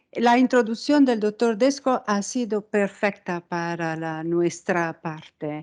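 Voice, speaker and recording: In an Italian accent, a woman with a medium pitch speaks at a very slow pace with lively intonation and hardly any pauses against a quiet background. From Italy. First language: Italian (speaking Spanish). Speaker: microscopy researcher, unit head. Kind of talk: science outreach talk.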